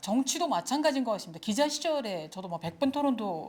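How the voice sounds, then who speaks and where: A woman's pitch swings very widely in a very clean recording with a silent background. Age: 60s. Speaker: retired journalist and lecturer. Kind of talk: lecture.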